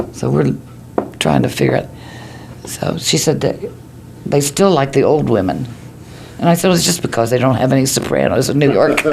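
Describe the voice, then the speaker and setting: With an American accent, a woman speaks fairly quickly at very even loudness, pausing long and often amid noticeable background noise. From Ohio. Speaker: newspaper editor. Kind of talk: interview answer.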